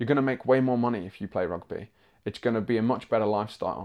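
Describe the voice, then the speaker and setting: At a very fast pace, a man speaks in a dark, mellow tone. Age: 20s. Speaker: musical theatre actor. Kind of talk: interview.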